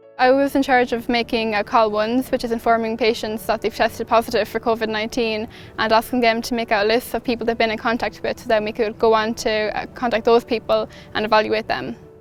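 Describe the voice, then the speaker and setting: This woman has an Irish Midlands accent and a fairly high pitch. She talks very fast in a flat monotone. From Ireland, County Laois. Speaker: midwifery student, volunteer. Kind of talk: recorded testimonial.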